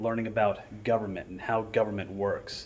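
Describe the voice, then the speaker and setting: With a plain, everyday voice, a man speaks at a moderate pace in a fairly low pitch and with fairly even intonation. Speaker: teacher. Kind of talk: casual vlog chat. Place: classroom. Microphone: phone near.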